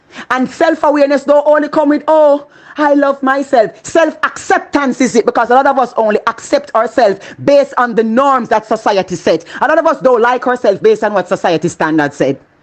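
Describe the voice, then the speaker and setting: A woman with a Jamaican accent speaks in a high pitch at a fairly quick pace, her tone animated, her intonation lively and her loudness very even. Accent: Jamaican, with patois. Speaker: motivational speaker. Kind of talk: motivational talk.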